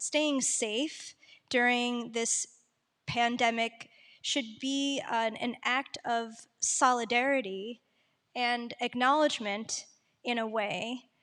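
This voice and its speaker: A woman speaks very slowly in a high voice with fairly even intonation, on a very clean recording with a silent background. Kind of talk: panel discussion. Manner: halting.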